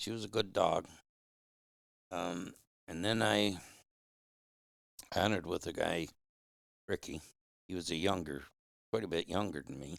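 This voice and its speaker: A very deep, low-pitched man's voice in an American accent, with vocal fry, lively intonation and long, frequent pauses. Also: moderate pace. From Michigan. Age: 70s. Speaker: hound hunter. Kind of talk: casual interview. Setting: in person, Upper Peninsula.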